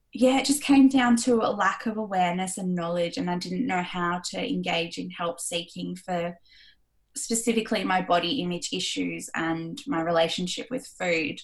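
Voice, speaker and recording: A woman speaks at a moderate pace with a somewhat breathy voice and lively intonation. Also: medium pitch for a woman. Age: 30s. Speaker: body image coach. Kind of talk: interview.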